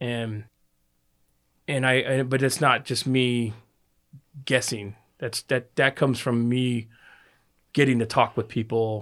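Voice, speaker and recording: With monotone, flat intonation, the speaker moves at a fairly slow pace with long, frequent pauses, in a very clean recording with a silent background. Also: man, medium pitch for a man. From Anchorage, Alaska. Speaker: war veteran. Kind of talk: casual chat.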